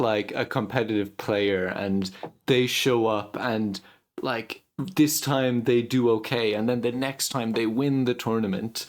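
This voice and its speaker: A man with an ordinary speaking voice, medium pitch, fairly slow pace and fairly even intonation, on a very clean recording with a silent background. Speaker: interviewer. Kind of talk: interview host questions.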